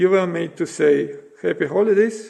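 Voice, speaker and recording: A high-pitched male voice with a dark, mellow tone and ordinary pitch variation. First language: not English. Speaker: citizen giving a political speech. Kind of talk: prepared speech. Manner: impassioned, rhetorical.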